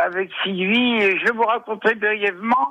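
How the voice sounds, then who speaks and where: A high-pitched man at a fairly slow pace, with noticeable background noise. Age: 60s. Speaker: reader. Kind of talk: phone interview. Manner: halting.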